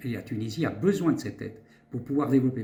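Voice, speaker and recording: A somewhat breathy male voice, dark and mellow, at a medium pitch. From Switzerland. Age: 60s. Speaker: doctor and politician. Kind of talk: interview. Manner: halting.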